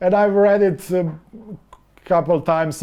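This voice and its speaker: A man's dark, mellow tone at a moderate pace. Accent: Slovene. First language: Slovene. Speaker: novelist and film director. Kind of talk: interview. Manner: halting.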